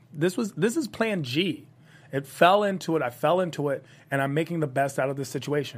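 On a very clean recording with a silent background, a man with an unremarkable speaking voice and a fairly high pitch talks at a fairly quick pace with ordinary pitch variation. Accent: American. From Washington, D.C., US. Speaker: comedian and comedy host. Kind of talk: casual interview chat.

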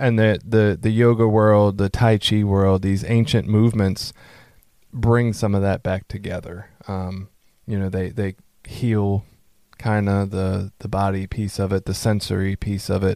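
This man speaks with an American accent at a fairly slow pace, using a fairly low pitch, monotone, flat intonation and a dark, mellow tone. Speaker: podcast host. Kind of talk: casual interview. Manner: loud.

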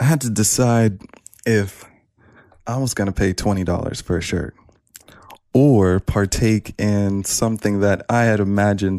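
A man with a normal speaking voice talks at a moderate pace and fairly low pitch with ordinary pitch variation, in a dry, close sound with no echo on a very clean recording with a silent background. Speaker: guest. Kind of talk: casual chat.

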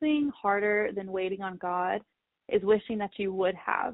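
At a fairly quick pace, a woman with an ordinary speaking voice talks at a medium pitch with fairly even intonation. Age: 20s. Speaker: life coach. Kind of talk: casual chat.

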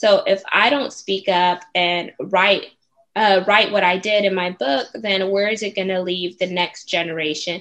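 Here a woman uses an ordinary speaking voice with an American accent. Her pitch varies in an ordinary way. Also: medium pitch for a woman. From Houston, Texas. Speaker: author and speaker. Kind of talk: interview.

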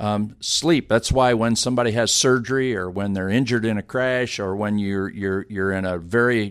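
This man has an ordinary speaking voice, fairly low in pitch with ordinary pitch variation, talking at a moderate pace on a very clean recording with a silent background. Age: 50s. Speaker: sports medicine director. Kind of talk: interview. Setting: office.

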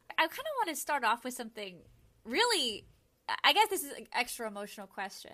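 Delivered in a raised, projected voice at a very fast pace, the speech has big swings in loudness and very wide pitch swings. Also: woman, high pitch for a woman. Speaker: podcast host. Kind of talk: casual chat.

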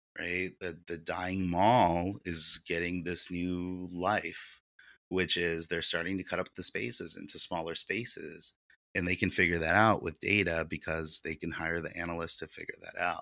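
A man's very deep, low voice with flat, monotone intonation and an American accent. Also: moderate pace. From Ukraine (Soviet Union), emigrated to US. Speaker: real estate investor and company founder. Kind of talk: interview. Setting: remote interview from his office.

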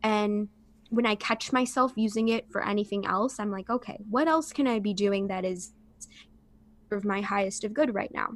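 This woman has an ordinary speaking voice with a fairly high pitch. She moves at a moderate pace with ordinary pitch variation. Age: 20s. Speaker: holistic coach and yoga teacher. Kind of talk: casual interview.

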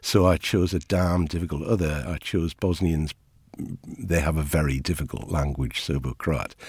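A man speaks with a very deep, low pitch and vocal fry. The recording is very clean, with a silent background. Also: ordinary pitch variation, moderate pace. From northern England, Ashington (Northumberland). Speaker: anthropology professor. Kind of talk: interview.

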